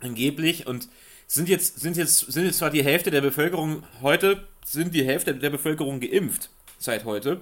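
A man with fairly high pitch and ordinary pitch variation speaks at a fairly slow pace on a very clean recording with a silent background. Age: 20s. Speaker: magazine editor. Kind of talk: casual chat. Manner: halting.

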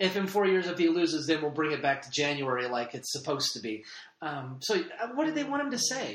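A man talks at a fairly high pitch and a fairly quick pace with lively intonation. It is an ordinary speaking voice. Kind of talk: casual chat.

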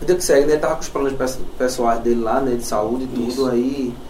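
Very fast and with fairly even intonation, a man at medium pitch speaks over noticeable background noise and audible room echo. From Olinda, Pernambuco, Brazil. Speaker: metal musician. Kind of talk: casual chat. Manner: halting.

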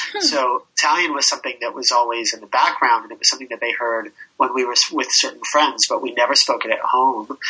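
A man with an American accent talks at a very fast pace, barely pausing, his loudness swinging widely. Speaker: hotel owner. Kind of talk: interview.

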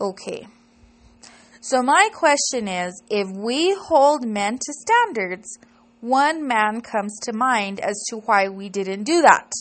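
Very slow delivery with lively intonation and big swings in loudness. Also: woman, fairly high pitch for a woman. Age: 30s. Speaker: podcaster and local political activist. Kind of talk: solo monologue podcast.

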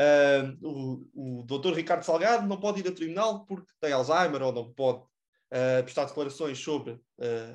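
A man with a normal speaking voice, a fairly high pitch and lively intonation. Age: young. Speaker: political youth activist. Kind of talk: casual chat.

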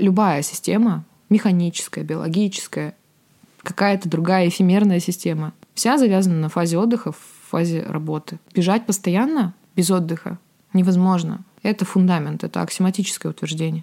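The tone is dark and mellow, with ordinary pitch variation at a moderate pace. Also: woman, medium pitch for a woman. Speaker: writer and sommelier, former software developer. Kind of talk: solo podcast monologue. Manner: reflective, digressive.

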